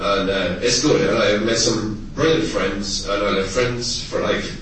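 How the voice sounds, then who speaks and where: Speaking at a fairly slow pace, a man with a Munster Irish accent has a fairly low pitch and ordinary pitch variation. Audible room echo and noticeable background noise surround his voice. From Tipperary, Ireland. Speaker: anti-eviction activist. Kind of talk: public speech. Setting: conference hall with audience. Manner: impassioned.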